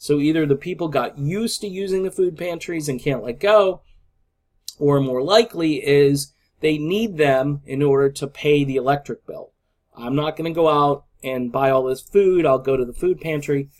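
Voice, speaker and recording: With an American accent, a man talks at a moderate pace in a fairly high voice with ordinary pitch variation. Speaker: political vlogger. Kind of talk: casual monologue vlog. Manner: halting, with filler words.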